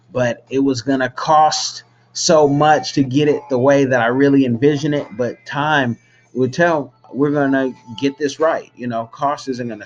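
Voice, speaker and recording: Music plays in the background behind a man of medium pitch. He keeps a moderate pace and fairly even intonation. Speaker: filmmaker. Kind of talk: casual vlog-style announcement.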